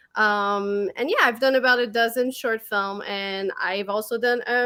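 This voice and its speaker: With a French-Canadian accent, a woman speaks at a moderate pace and with ordinary pitch variation. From Quebec, Montreal. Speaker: horror filmmaker and podcast co-host. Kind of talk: casual chat. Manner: hesitant, many fillers.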